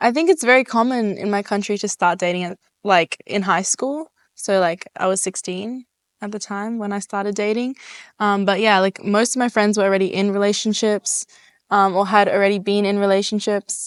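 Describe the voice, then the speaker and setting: Against a quiet background, a woman with an Australian accent speaks at a medium pitch and moderate pace, her intonation fairly even and the sound dry and close with no echo. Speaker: interviewee. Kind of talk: casual interview. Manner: hesitant, many fillers.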